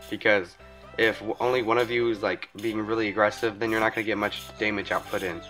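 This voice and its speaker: Over music in the background, a man with a fairly low pitch talks at a fairly quick pace with fairly even intonation. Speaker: gaming tips video maker. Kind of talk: game tutorial voice-over. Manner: fast.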